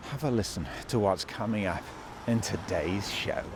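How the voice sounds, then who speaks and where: Speaking fairly slowly, this man has a British accent. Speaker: podcast host. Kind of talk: casual chat.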